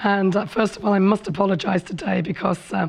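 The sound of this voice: A husky voice with vocal fry speaks at a fairly quick pace with fairly even intonation. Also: woman, medium pitch for a woman.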